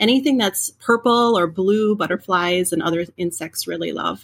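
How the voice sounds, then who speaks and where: A woman speaks with an Upper Midwest accent and a bright, sharp tone. The recording is very clean, the background silent. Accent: Upper Midwest American. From central Minnesota. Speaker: home gardener. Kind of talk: interview.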